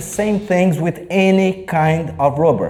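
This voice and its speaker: Amid noticeable background noise, a man speaks at a high pitch with fairly even intonation. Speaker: table tennis coach. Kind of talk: tutorial. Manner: casual, unedited.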